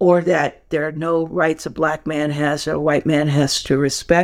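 The speaker has an American accent and talks at a fairly slow pace with fairly even intonation. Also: woman. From New York. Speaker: film editor. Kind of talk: interview conversation.

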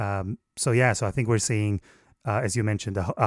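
A man with an Israeli accent speaks at a very fast pace and fairly low pitch with fairly even intonation, in a very clean recording with a silent background and dry, close sound with no echo. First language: Hebrew. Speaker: foreign correspondent journalist. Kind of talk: interview. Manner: halting with frequent repetitions.

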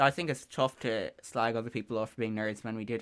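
Speaking in an Irish accent at a fairly quick pace, a man with a medium pitch keeps his intonation fairly even on a very clean recording with a silent background. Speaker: student radio show co-host. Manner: sarcastic-sounding delivery.

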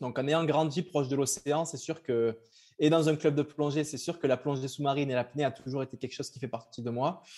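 Fairly quick, fairly even delivery from a man with a fairly high pitch and a dark, mellow tone. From southern France, Cavaillon. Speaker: ultra-trail runner. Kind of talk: interview.

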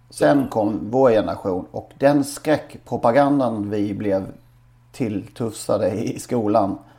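In a dark, mellow tone, a man talks at a very slow pace and medium pitch with ordinary pitch variation. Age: 40s. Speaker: podcast co-host. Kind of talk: casual chat.

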